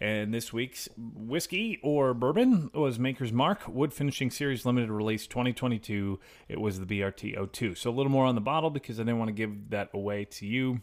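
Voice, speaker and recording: On a very clean recording with a silent background, a man with an American accent uses a normal speaking voice at medium pitch, moving at a fairly quick pace with hardly any pauses and ordinary pitch variation. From Chicago area. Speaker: podcast co-host. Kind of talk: casual chat.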